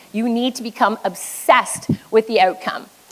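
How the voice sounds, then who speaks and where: Woman's voice amid noticeable background noise. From Quebec, French Canadian. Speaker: business coach. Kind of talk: motivational keynote talk. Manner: high energy.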